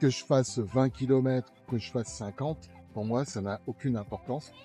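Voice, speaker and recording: Over music in the background, a man speaks at a medium pitch and a moderate pace with ordinary pitch variation. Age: 70s. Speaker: electric unicycle rider. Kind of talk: interview answer.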